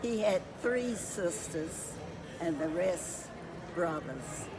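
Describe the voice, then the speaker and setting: Against noticeable background noise and audible room echo, a woman speaks at a very slow pace at medium pitch with ordinary pitch variation. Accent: American. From US South, Roanoke, Virginia. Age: 90s. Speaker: family elder. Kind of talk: interview. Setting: family reunion.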